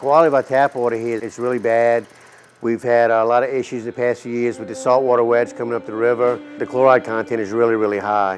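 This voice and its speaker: Music plays in the background as a man with a south Louisiana accent talks very fast. His medium-pitched voice keeps a fairly even intonation. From southeast Louisiana, Plaquemines Parish. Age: 60s. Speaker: restaurant owner. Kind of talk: documentary interview.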